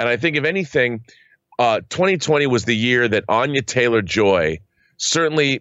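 In an ordinary speaking voice, a man talks fairly quickly at medium pitch, his intonation lively. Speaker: co-host. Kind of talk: casual chat.

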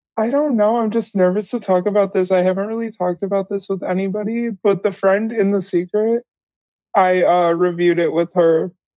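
A woman with an unremarkable speaking voice talks at a fairly quick pace and medium pitch, her intonation fairly even. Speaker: interview guest. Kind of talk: casual chat.

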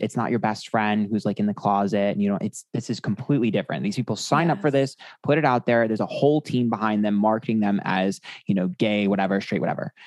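At a very fast pace, a man talks at a medium pitch with ordinary pitch variation, the sound dry and close with no echo over a quiet background. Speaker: tarot reader and YouTuber. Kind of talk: casual chat. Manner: sassy.

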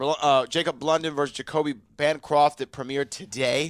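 A normal speaking voice moves at a moderate pace with fairly even intonation, in a dry, close sound with no echo. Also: man. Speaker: trivia show host. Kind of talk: casual banter, show recap. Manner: joking, playful.

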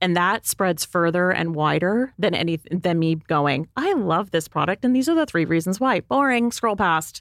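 A woman's plain, everyday voice, fairly low in pitch, with a Canadian accent and lively intonation, in a dry, close, echo-free and very clean recording with a silent background. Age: 40s. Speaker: beauty editor and podcast co-host. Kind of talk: casual chat. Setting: studio.

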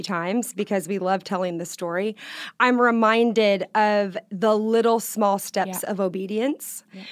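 A woman speaks in an ordinary speaking voice with a fairly high pitch on a very clean recording with a silent background. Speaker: singer.

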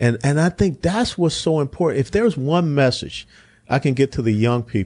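An ordinary speaking voice with an American accent, lively intonation, moderate pace and very even loudness, in a dry, close sound with no echo. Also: man, fairly high pitch for a man. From US South. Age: 60s. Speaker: politician and retired army officer. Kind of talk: political discussion.

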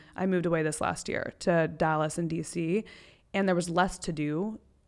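A woman with a normal speaking voice and a fairly low pitch talks at a moderate pace on a very clean recording with a silent background. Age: 20s. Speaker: podcast guest. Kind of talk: casual chat. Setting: in person.

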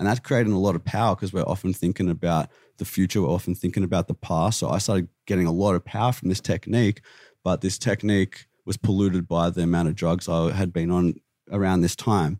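In a very clean recording with a silent background, a man with an Australian accent speaks at a very fast pace in a very deep, low pitch and a dark, mellow tone, with fairly even intonation and a dry, close sound with no echo. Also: very even loudness. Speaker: vegan activist. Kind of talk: heated debate. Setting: studio.

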